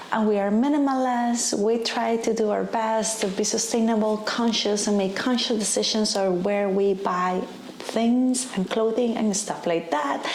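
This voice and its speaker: A woman with a Spanish accent speaks at a moderate pace and fairly high pitch, with hardly any pauses, fairly even intonation, and very even loudness. Noticeable background noise and audible room echo are present. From Costa Rica. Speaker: lifestyle vlogger. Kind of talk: casual vlog talk to camera.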